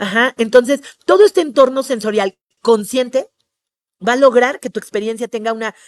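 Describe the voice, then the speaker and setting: A woman's animated voice with ordinary pitch variation, big swings in loudness and long, frequent pauses, dry and close with no echo. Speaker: tourism trainer. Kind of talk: webinar lecture. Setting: online webinar. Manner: fast.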